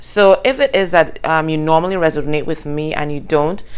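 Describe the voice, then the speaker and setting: Speaking at a moderate pace, a woman uses a very deep, low pitch. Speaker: tarot reader. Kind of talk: casual tarot reading chat. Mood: warm, upbeat. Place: home room. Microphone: phone near.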